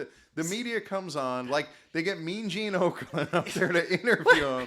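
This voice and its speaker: High pitch from a man, with noticeable noise in the background. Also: ordinary pitch variation, moderate pace. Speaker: postal worker. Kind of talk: casual podcast banter.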